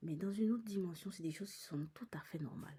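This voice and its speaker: Very fast and somewhat breathy, a woman speaks with a dark, mellow tone and lively intonation. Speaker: psychic medium vlogger. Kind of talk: personal vlog monologue. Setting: in a cinema. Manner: halting.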